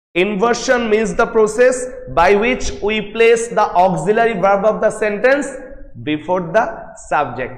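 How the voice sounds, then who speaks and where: Speaking at a fairly slow pace with ordinary pitch variation, a man with a high voice is heard over noticeable background noise and audible room echo. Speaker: English lecturer. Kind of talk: lecture. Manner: loud; repetitive, emphatic.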